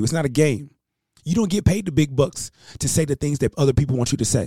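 Somewhat breathy, dark, mellow delivery at a very fast pace with lively intonation. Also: man. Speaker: talk radio host. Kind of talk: rally speech, motivational address to listeners. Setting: live radio broadcast. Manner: impassioned, emphatic, repeating key lines for effect.

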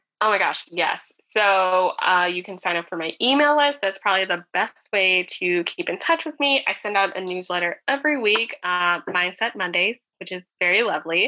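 A woman with an American accent speaks at a moderate pace and medium pitch, with ordinary pitch variation and hardly any pauses. It is an unremarkable speaking voice on a very clean recording with a silent background. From US Northeast, North Jersey. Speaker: sex educator and business coach. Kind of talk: casual interview.

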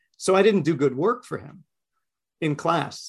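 An American man with an animated tone, a moderate pace and ordinary pitch variation. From Queens, New York. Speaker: comics creator. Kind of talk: casual chat, podcast interview. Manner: animated, talkative.

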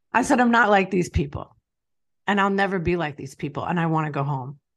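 Against a quiet background, a woman speaks with a New York accent. Her pitch is medium and her intonation lively. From Long Island, New York. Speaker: business owner and author. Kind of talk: personal testimony interview.

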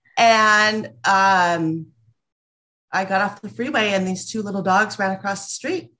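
Speaking at a fairly slow pace with a West Coast US accent, this voice has a bright, sharp tone and ordinary pitch variation. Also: woman, medium pitch for a woman. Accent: General American, West Coast. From Los Angeles, US West Coast. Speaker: small business owner. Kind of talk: casual interview.

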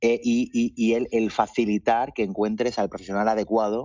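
In an unremarkable speaking voice, a man talks at a fairly low pitch and a fairly slow pace. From Mallorca, Spain. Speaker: marketing and data executive. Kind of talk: interview.

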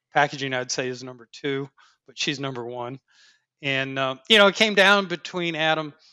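A man with an American accent and an ordinary speaking voice, fairly high in pitch, at a moderate pace, with ordinary pitch variation and big swings in loudness. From upstate New York (Dryden, near Ithaca). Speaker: packaging engineering lead at a tech company. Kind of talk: interview.

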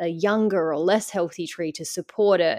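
An Australian accent at a fairly slow pace against a quiet background. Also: woman. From Western Australia. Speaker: nature educator. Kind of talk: interview.

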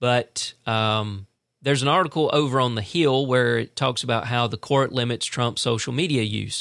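On a very clean recording with a silent background, a man with an ordinary speaking voice talks at a moderate pace and medium pitch with ordinary pitch variation. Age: 50s. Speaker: podcast host. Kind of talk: political commentary monologue. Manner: casual, conversational.

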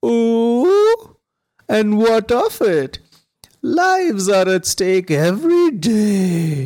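A man puts on a character voice, pitched high. He talks very slowly, with very wide swings in pitch.

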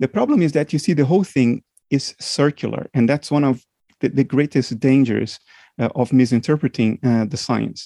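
A man with a non-native accent speaks at a moderate pace and medium pitch, with ordinary pitch variation and a dark, mellow tone. The sound is dry and close with no echo, over a quiet background. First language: not English. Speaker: philosopher and computer scientist. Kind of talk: interview. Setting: remote call.

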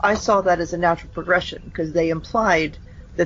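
A woman at medium pitch with a plain, everyday voice, ordinary pitch variation and a fairly quick pace. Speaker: podcast guest. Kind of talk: casual chat.

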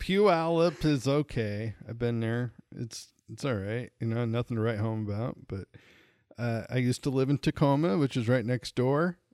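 A plain, everyday voice from a man with an American accent, medium pitch, lively intonation and a moderate pace, in a dry, close sound with no echo and a very clean recording with a silent background. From Montana. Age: 40s. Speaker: podcast host, comedian. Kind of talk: casual chat. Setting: home recording, sharing one mic.

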